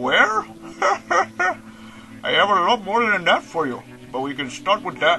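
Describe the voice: Faint music plays behind a man doing a put-on character voice, high-pitched, bright and sharp, with vocal fry, big pitch swings and a slow pace.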